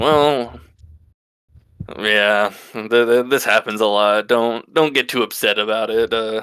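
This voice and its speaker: A gruff, put-on character voice from a man, medium in pitch, fairly slow and fairly even in intonation, with long, frequent pauses on a very clean recording with a silent background. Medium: actual play. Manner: folksy, hesitant.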